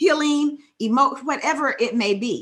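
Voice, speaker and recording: Her pitch swings very widely as the woman speaks at a fairly slow pace. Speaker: podcast co-host. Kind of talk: podcast interview.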